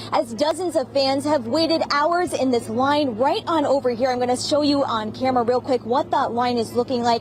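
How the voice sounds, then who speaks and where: Her voice is high in pitch, with ordinary pitch variation. This woman moves at a fairly quick pace over noticeable background noise. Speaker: television news reporter and anchor. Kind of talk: broadcast TV news reporting. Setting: on-location field report / studio news read.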